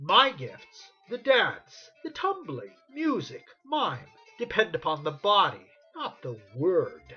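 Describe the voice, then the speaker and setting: A put-on character voice with a fairly high pitch speaks at a very slow pace over faint background music. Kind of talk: iambic pentameter period comedy. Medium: stage play. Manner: proud, blunt.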